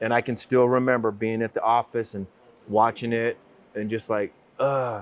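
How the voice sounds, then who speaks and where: Monotone, flat intonation from a man at a medium pitch. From Utah, US. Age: 60s. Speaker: business owner. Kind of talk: interview.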